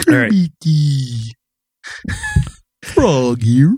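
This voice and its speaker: This put-on character voice sits at a low-to-middle pitch. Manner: chipper.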